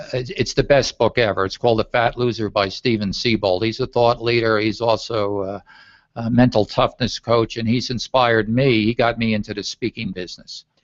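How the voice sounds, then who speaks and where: At a fairly quick pace, a man with a plain, everyday voice speaks at medium pitch with fairly even intonation and a dry, close sound with no echo. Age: 60s. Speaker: travel and leisure speaker, coach. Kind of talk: interview.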